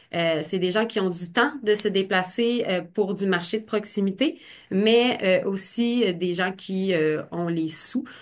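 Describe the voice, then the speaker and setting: A woman speaks at a medium pitch with ordinary pitch variation. Her pace is very slow. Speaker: marketing presenter. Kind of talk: webinar presentation. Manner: hesitant, many fillers.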